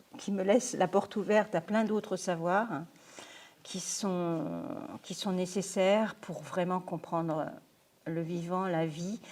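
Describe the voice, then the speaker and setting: A woman talks at a very slow pace and a medium pitch, with long, frequent pauses. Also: fairly even intonation. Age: 60s. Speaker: lecturer, retired software project manager. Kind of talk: lecture. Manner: halting.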